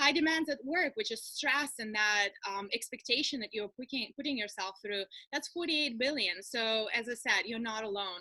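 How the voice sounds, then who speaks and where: With a Russian accent, a woman talks at a moderate pace with hardly any pauses, her fairly high voice bright and sharp in tone and her intonation lively. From far east of Russia. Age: young. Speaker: coach and speaker. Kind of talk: webinar presentation. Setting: video call.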